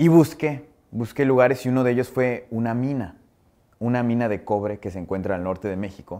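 A man's dark, mellow tone at medium pitch, fairly quick in pace, against a quiet background. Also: ordinary pitch variation. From Mexico. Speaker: TV personality and musician; interviewee. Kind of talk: interview. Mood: warm, animated. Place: studio. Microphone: lapel.

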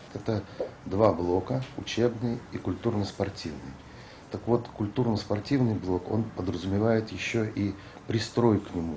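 With light background noise, a man with a fairly low pitch speaks at a fairly slow pace with ordinary pitch variation. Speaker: organization manager interviewee. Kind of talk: interview comment. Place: office.

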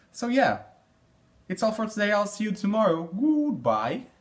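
Here a man speaks with a high pitch and an upbeat tone. His pace is moderate, and his pitch varies in an ordinary way. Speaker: vlogger. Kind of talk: casual talk to camera. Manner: upbeat, chatty. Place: home room. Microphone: phone near.

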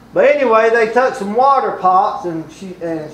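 Audible room echo surrounds this man as he talks. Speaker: preacher. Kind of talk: sermon. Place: church.

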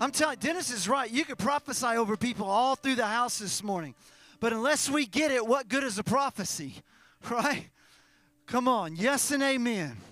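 With an American accent, a man speaks at a moderate pace in an extremely high pitch, his tone bright and sharp, his pitch variation ordinary, the sound dry with no echo. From US. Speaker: pastor. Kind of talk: sermon closing prayer and blessing. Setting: church with online stream. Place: church. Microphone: handheld.

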